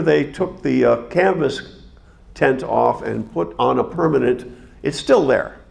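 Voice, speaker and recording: A man at a moderate pace, with audible room echo. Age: 70s. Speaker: observatory docent giving a talk. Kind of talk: lecture. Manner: halting, with fillers and restarts.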